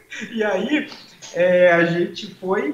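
A man speaks over noticeable background noise. Audible room echo surrounds his voice. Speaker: comedian. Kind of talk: casual chat. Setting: live stream.

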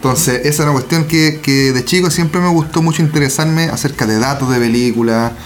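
A man with a Chilean accent speaks at a fairly quick pace in a fairly high pitch with ordinary variation, amid audible room echo and noticeable background noise. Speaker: film podcast co-host. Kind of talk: casual chat.

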